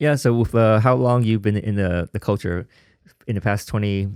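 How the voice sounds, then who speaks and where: In a Vietnamese accent, a man talks at a moderate pace with a fairly low pitch and ordinary pitch variation. His loudness stays very even on a very clean recording with a silent background. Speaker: podcast host and house dancer. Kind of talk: interview conversation. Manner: halting, many fillers.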